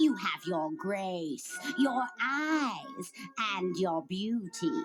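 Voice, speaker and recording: A female-sounding voice uses a put-on character voice at a medium pitch. The pace is very slow, with clear background noise. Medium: read story. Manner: sly, cackling.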